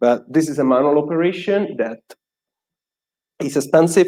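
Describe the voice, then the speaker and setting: A man with an Italian accent talks at a fairly quick pace. His tone is dark and mellow, with lively intonation. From Italy. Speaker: software developer, conference speaker. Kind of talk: conference talk.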